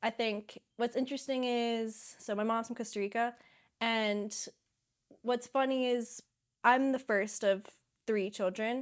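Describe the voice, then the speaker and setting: A woman with an American accent speaks at a fairly slow pace, fairly high in pitch, in a monotone, flat intonation. The recording is very clean, with a silent background. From US, Pittsburgh. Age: 20s. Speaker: climber and filmmaker. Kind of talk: interview.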